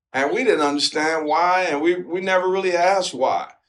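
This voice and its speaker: A man with an American accent and an unremarkable speaking voice, with ordinary pitch variation and a moderate pace. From Detroit, Michigan. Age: 60s. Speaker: former professional basketball player. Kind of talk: interview answer.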